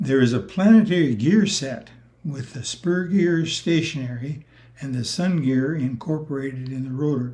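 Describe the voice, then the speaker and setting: The man's voice is somewhat breathy. His tone is dark and mellow. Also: fairly high pitch for a man, ordinary pitch variation, moderate pace. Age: 80s+. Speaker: retired rotary engine engineer. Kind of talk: technical presentation.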